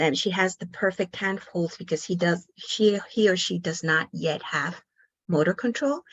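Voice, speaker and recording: This woman's voice sits at a medium pitch and is somewhat breathy. She talks fairly slowly. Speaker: pediatric occupational therapist. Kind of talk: online workshop presentation.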